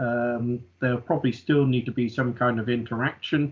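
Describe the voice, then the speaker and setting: The speaker is a man. He has a British accent. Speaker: oil and gas industry speaker. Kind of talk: online lecture. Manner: halting, many fillers.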